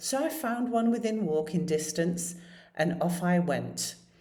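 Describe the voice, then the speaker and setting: A woman speaks with a British accent, her pitch fairly low and her tone dark and mellow. She sounds somewhat breathy, with audible room echo. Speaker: storyteller. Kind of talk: personal storytelling.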